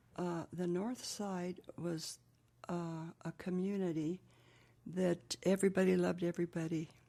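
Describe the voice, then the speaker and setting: Speaking at a fairly slow pace with a New Mexico accent, a woman has fairly low pitch, a dark, mellow tone and monotone, flat intonation on a very clean recording with a silent background. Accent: New Mexico American English. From US Southwest, Gallup, New Mexico. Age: 80s+. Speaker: interviewee. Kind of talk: oral history interview.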